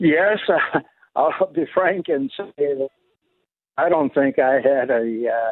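A man with a fairly high pitch speaks at a very slow pace. Long pauses come often. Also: ordinary pitch variation. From New York City. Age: 90s. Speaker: war veteran. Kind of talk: interview. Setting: phone call. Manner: clear; halting.

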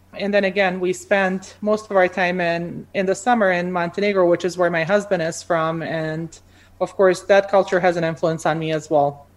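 In a Bosnian accent, a woman speaks at a moderate pace and medium pitch with monotone, flat intonation. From Bosnia and Croatia. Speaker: pharmacy academic. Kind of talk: interview. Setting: video call.

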